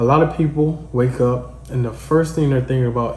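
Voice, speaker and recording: A man's medium-pitched, somewhat breathy voice with a dark, mellow tone, fairly even intonation, a fairly quick pace and audible room echo. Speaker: podcast host. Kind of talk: solo podcast monologue. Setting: at home. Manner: casual, conversational.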